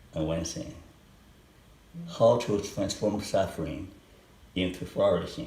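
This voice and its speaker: With a Chinese accent and a dark, mellow tone, a man speaks at a fairly slow pace and fairly low pitch, somewhat breathy and with lively intonation, leaving long, frequent pauses amid audible room echo. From China and Hong Kong. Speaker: psychologist professor. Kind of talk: research interview. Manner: slow and clear.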